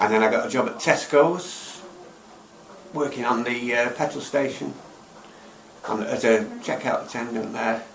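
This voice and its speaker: Speaking with a Manchester accent, a man talks at a medium pitch and moderate pace with ordinary pitch variation and long, frequent pauses, over noticeable background noise and audible room echo. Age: 60s. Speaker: job-seeking volunteer. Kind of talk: casual interview chat. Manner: halting.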